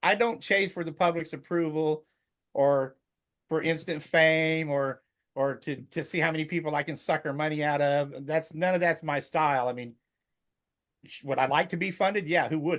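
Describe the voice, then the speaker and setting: A man with a plain, everyday voice at fairly high pitch comes through on a very clean recording with a silent background. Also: fairly even intonation, moderate pace. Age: 60s. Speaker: storm chaser. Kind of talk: casual interview chat.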